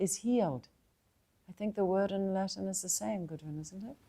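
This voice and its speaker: This woman talks at a moderate pace with a New Zealand accent. Her medium-pitched voice has a dark, mellow tone. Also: big swings in loudness. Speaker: spiritual teacher. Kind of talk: satsang talk.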